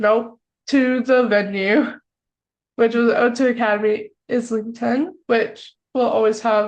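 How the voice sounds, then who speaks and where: A woman with an American accent, at a fairly slow pace. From United States. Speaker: podcast co-host. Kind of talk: casual chat.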